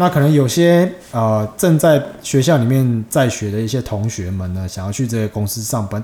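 The man has an unremarkable speaking voice at a medium pitch. His intonation is lively. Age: 30s. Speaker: podcast host. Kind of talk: casual chat. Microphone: cheap microphone.

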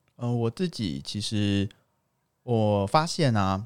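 In a very clean recording with a silent background, a man with an unremarkable speaking voice talks at a fairly low pitch with lively intonation. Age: 20s. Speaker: engineer. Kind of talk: casual chat.

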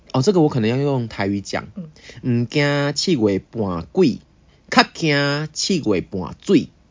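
Here a man speaks at a very slow pace with a fairly high pitch. His pitch swings very widely. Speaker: podcast co-host. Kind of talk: casual chat. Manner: animated; quiet this time.

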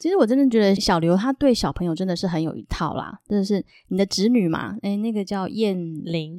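In a Taiwanese accent, a woman speaks at medium pitch, with a dry, close sound and no echo. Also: ordinary pitch variation, fairly quick pace, very clean recording, silent background. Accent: Taiwanese Mandarin. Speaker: podcast host. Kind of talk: casual interview chat; Bible storytelling.

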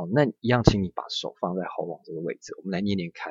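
A man's fairly low voice, ordinary pitch variation, a plain, everyday voice. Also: dry, close sound with no echo. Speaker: Japanese language teacher. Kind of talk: language lesson. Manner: slow, repetitive drilling.

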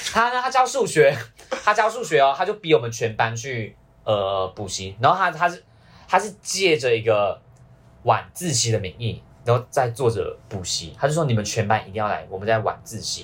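In a Malaysian accent, the speaker moves at a moderate pace with very wide pitch swings on a very clean recording with a silent background. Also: man, medium pitch for a man. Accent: Malaysian Chinese Mandarin. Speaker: university student. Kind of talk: casual chat.

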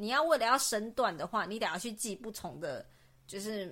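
A woman's fairly high, bright, sharp voice at a moderate pace. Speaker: podcast co-host. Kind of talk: casual chat.

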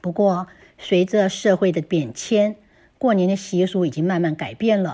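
Ordinary pitch variation runs through a woman's dark, mellow voice. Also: medium pitch for a woman, fairly slow pace. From Taiwan. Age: 60s. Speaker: listener contributor. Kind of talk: reading aloud.

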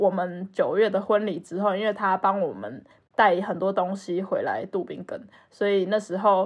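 A woman speaks in an ordinary speaking voice at medium pitch, her intonation fairly even against a quiet background. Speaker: podcast co-host. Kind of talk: casual chat.

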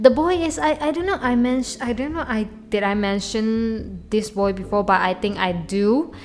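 A woman talks with lively intonation. She leaves hardly any pauses. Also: fairly high pitch for a woman, moderate pace. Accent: Chinese. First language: Chinese. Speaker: podcaster. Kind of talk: casual solo monologue. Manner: halting, many repetitions and fillers.

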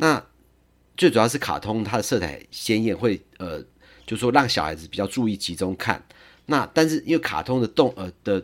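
A man speaks at a moderate pace with a strong Taiwanese accent and lively intonation. His loudness swings widely, and the recording is very clean with a silent background. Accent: heavy Taiwanese accent in English. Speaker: lawyer sharing parenting experience. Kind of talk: podcast monologue. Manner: frequent fillers and hesitations.

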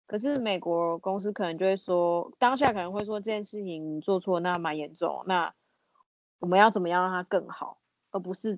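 A woman's voice at medium pitch, with ordinary pitch variation and a moderate pace. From Taiwan. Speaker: office worker at a wine importer. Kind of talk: casual chat.

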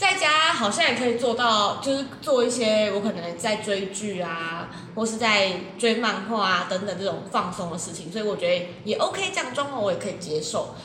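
At a moderate pace, a woman with a fairly high pitch speaks in an animated tone with lively intonation. Audible room echo and noticeable background noise fill the recording. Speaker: podcast co-host. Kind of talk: casual chat. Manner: animated, laughing often.

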